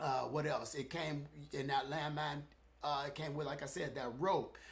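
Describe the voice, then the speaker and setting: A man with a fairly high pitch talks at a fairly slow pace. His voice is somewhat breathy, and room echo is audible. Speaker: fitness equipment reviewer. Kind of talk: live stream product review. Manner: halting, stuttering.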